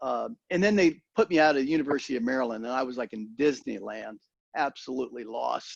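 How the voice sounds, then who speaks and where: A man speaks very fast at medium pitch with ordinary pitch variation. The sound is dry and close, with no echo. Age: 70s. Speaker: Vietnam veteran, former high-tech sales leader. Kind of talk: talk to a peer group.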